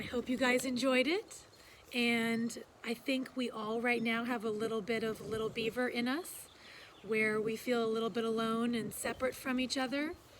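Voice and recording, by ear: At a moderate pace, a woman speaks with a fairly high pitch, a fairly bright tone and little pitch movement.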